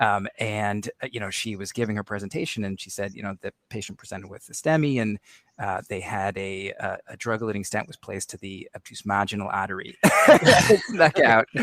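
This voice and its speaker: In a plain, everyday voice, a man talks at a fairly quick pace with fairly low pitch, ordinary pitch variation and big swings in loudness, the sound dry and close with no echo. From Arizona. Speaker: podcast co-host, physician. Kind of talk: podcast interview.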